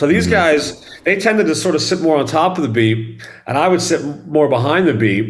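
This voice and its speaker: Audible room echo surrounds a man who moves at a fairly quick pace with very wide pitch swings. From Dallas, Texas. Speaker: rock drummer. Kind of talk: casual interview chat.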